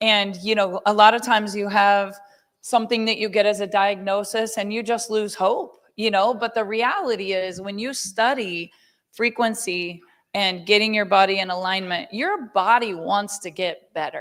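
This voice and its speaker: At a moderate pace and medium pitch, a woman talks in a normal speaking voice with fairly even intonation, captured in a very clean recording with a silent background. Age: 50s. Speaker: network marketing company leader. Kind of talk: sales pitch.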